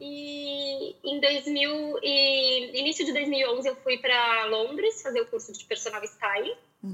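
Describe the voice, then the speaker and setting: A woman's high voice swings very widely in pitch. She talks very slowly. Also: hardly any pauses. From Porto Alegre, southern Brazil. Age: 30s. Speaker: style consultant. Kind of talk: casual interview.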